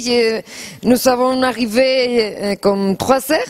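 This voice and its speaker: A woman with a Spanish accent talks at a high pitch and a very slow pace. Her pitch varies in an ordinary way, with noticeable background noise. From Spain. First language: Spanish (speaking French). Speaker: actress. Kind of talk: TV interview. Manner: halting.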